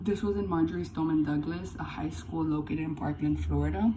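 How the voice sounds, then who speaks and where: A woman's very deep, low voice with very wide pitch swings and audible room echo. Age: 20s. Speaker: college student. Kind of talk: class speech. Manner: halting.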